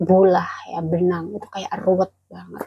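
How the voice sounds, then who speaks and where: A woman speaks quietly at a medium pitch, her tone dark, mellow and somewhat breathy. The sound is dry and close with no echo. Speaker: migrant domestic worker vlogger. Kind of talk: casual vlog chat. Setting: indoors at employer's home. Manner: quiet, held-back voice.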